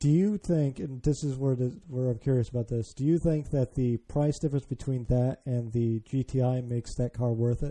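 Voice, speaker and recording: A man's plain, everyday voice, medium in pitch with ordinary variation, at a moderate pace with hardly any pauses, with an American accent, in dry, close sound with no echo. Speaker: podcast host. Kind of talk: casual chat.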